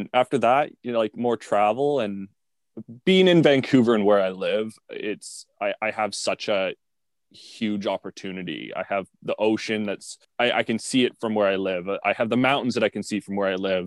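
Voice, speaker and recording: A man's fairly low voice with a Canadian accent, an ordinary speaking voice, ordinary pitch variation, dry and close with no echo, over a quiet background. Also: moderate pace. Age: 20s. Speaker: content creator and clothing brand owner. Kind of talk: casual interview.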